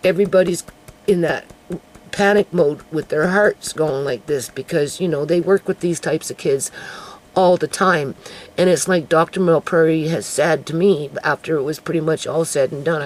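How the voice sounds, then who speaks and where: A woman in a raspy put-on character voice, fairly low in pitch, at a moderate pace. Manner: fast-talking.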